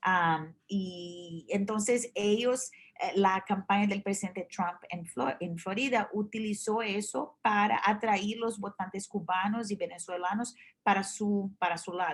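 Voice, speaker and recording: Ordinary pitch variation marks this somewhat breathy voice. The pace is fairly slow. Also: woman. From Brazil. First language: Portuguese (speaking Spanish). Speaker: journalist. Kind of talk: interview. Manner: halting, many fillers and restarts.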